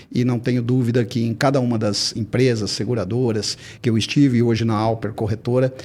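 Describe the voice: His pitch is medium for a man. The intonation hardly rises or falls, staying fairly even.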